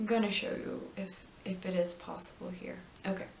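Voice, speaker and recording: Very slow delivery in fairly even intonation, with audible room echo. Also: woman. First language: not English. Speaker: knitting and crafts video host. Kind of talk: casual tutorial show-and-tell. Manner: halting, many ums and restarts.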